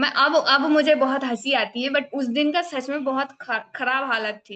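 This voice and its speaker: A woman with a Bengali accent uses a raised, projected voice, high in pitch and bright and sharp in tone, with ordinary pitch variation. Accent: Bengali-accented Hindi. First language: Bengali (speaking Hindi). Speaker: community group member giving testimony. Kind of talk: personal testimony speech. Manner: hesitant, with fillers.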